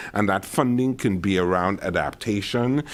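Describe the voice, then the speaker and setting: At a moderate pace, a man with a slight Caribbean accent speaks with lively intonation. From Caribbean island. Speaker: climate adaptation expert, panelist. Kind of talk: panel discussion.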